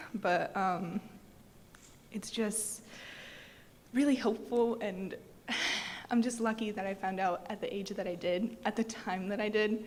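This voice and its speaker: With an American accent, a woman speaks in an unremarkable speaking voice at fairly high pitch, with fairly even intonation and a fairly slow pace. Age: 20s. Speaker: patient speaker. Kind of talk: testimony.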